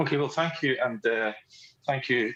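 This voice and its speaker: A man speaks with a Scottish accent against a quiet background. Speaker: police sergeant. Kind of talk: panel talk.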